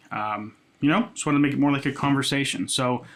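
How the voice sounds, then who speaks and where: Fairly high in pitch, a man with a normal speaking voice talks at a fairly quick pace with ordinary pitch variation. The recording is very clean, with a silent background. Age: 20s. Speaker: music producer and content creator. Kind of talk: casual chat. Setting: home studio. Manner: casual, many filler words.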